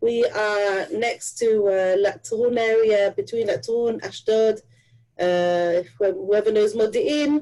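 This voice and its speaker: A woman speaks very slowly with a fairly high pitch and a dark, mellow tone. Her loudness stays very even, and her pitch varies in an ordinary way. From Israel. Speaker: real estate agent. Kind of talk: video call discussion.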